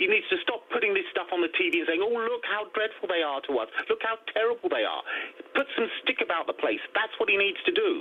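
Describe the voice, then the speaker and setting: In an English accent, a man talks fairly quickly at an extremely high pitch with very wide pitch swings and very even loudness, over noticeable background noise. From England. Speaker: caller. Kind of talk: heated debate. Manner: forceful.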